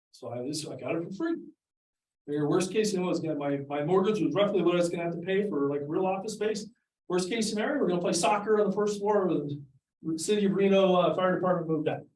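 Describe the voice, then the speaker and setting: A man speaks at a very fast pace in a high voice. His pitch varies in an ordinary way, and the room echo is audible. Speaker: accountant. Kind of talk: presentation. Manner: animated.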